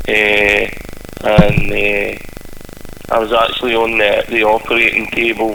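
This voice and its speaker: There is noticeable background noise as a man with a Scottish accent talks at a fairly slow pace. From Scotland. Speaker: singer-songwriter. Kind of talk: interview. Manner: halting.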